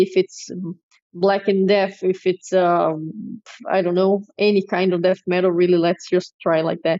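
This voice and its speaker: A woman speaks at a medium pitch in a flat monotone. Her pace is fairly slow. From Brazil. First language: Portuguese. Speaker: metal drummer. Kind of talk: interview.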